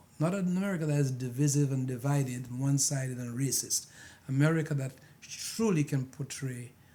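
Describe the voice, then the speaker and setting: A man with a non-native accent speaks at a fairly quick pace in a fairly high pitch with ordinary pitch variation. His tone is dark and mellow and somewhat breathy. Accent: foreign. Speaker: pastor. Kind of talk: panel discussion. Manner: animated.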